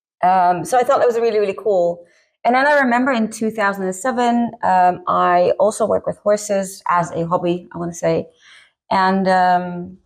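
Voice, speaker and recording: A woman speaks with a Dutch accent at a moderate pace, her pitch medium with ordinary variation. The background is quiet. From Netherlands. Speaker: author. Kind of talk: casual interview. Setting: makeup session on camera.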